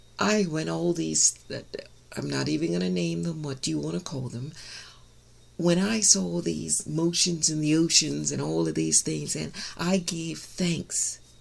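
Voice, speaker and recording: Audible room echo surrounds a woman with a very deep, low pitch. She speaks at a fairly slow pace, her pitch swinging very widely. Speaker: minister. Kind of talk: sermon.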